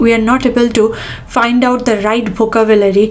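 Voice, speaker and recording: A woman with an Indian accent talks at a fairly high pitch. Her intonation stays flat and monotone over noticeable background noise. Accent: Indian English, own. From India, Bengal. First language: Bengali. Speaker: tech professional, YouTuber. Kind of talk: casual talk to camera, advice podcast. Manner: halting, with fillers and restarts.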